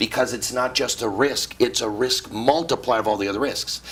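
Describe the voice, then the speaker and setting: Noticeable background noise sits behind the recording. A man speaks in a medium pitch. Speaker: retirement planning author. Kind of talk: interview. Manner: fast; animated.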